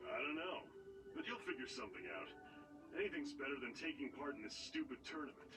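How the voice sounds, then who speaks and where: Over loud music, a man rattles off lines very fast in a gruff, put-on character voice. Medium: video game. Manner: gruff, swearing.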